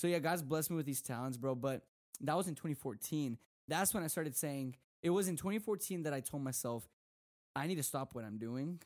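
A plain, everyday voice moves at a fairly quick pace. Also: man, fairly high pitch for a man, ordinary pitch variation. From Texas. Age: 20s. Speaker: youth preacher. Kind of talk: casual chat.

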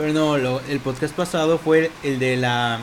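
A man speaks in a Mexican accent at a fairly high pitch with fairly even intonation. Background noise is noticeable. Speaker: podcast host. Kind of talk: casual chat.

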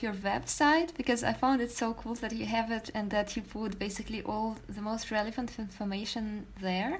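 A woman speaks at a moderate pace in a fairly high, somewhat breathy voice with fairly even intonation. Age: 20s. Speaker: podcast host. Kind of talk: interview. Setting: video call.

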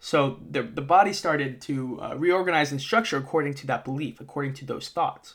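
In a plain, everyday voice, the speaker talks at a fairly quick pace with hardly any pauses, ordinary pitch variation and big swings in loudness, on a very clean recording with a silent background. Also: man, fairly high pitch for a man. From US Northeast, Massachusetts (moved around a lot). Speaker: podcast host, mental performance coach. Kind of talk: educational monologue. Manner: casual, filler-heavy (uh, okay, all right).

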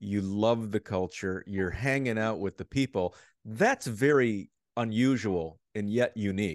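A man talks at a fairly slow pace against a quiet background. He has an ordinary speaking voice with ordinary pitch variation. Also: fairly low pitch for a man. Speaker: podcast host. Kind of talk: casual interview chat. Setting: video call, remote.

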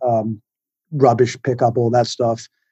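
With an American accent and a dark, mellow tone, a man speaks at a moderate pace in a dry, close sound with no echo. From England. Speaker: food writer and photographer. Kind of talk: casual interview. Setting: conference call from New York. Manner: self-deprecating, jokey.

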